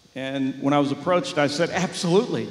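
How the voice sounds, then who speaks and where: A man is speaking. Noticeable background noise sits behind him. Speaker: retired army brigadier general; motivational speaker. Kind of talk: live motivational speech to a large audience. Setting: auditorium. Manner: high-energy, expressive inflection, humorous.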